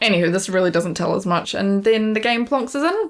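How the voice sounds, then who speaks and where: A fairly high-pitched woman with music in the background. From Scotland. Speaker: gaming YouTuber. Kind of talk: scripted review narration.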